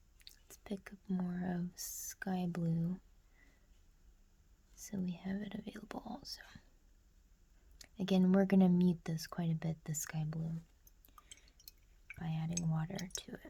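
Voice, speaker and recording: A soft-spoken, calm tone at a fairly slow pace, with long, frequent pauses. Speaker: amateur watercolor artist and ASMR creator; ASMR creator. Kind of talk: soft-spoken ASMR painting tutorial.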